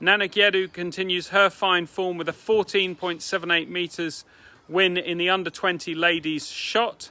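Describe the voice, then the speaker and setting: At a moderate pace, a man with a high pitch and an English accent speaks with monotone, flat intonation. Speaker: athletics club president. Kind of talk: club meeting announcements. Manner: subdued; hesitant.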